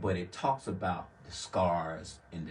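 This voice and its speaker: A somewhat breathy man's voice with a slight Southern US accent and ordinary pitch variation. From US South, Laurel, Mississippi. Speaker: community worker. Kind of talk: interview.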